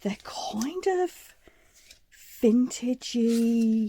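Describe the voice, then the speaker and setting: Somewhat breathy and dark, mellow in tone, a woman's fairly high voice moves through very wide pitch swings. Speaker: crafting channel host. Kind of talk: tutorial. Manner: casual, chatty.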